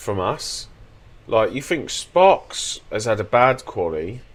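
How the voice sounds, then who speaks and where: Very slowly, a man talks with vocal fry and very wide pitch swings. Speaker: sim racing streamer. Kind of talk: live gameplay commentary. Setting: live stream.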